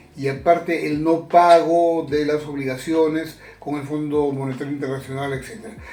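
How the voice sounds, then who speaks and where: A man with a fairly high pitch speaks at a moderate pace and fairly even intonation. Noticeable background noise and audible room echo surround him. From Peru, Chiclayo. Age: 70s. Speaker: retired journalist. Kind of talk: interview. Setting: at home.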